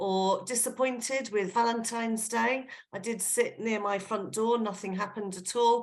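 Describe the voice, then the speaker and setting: Speaking at a fairly slow pace in an English accent, a woman uses a fairly high pitch with ordinary pitch variation, with audible room echo. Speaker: genealogy speaker. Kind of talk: online lecture. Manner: casual, with fillers.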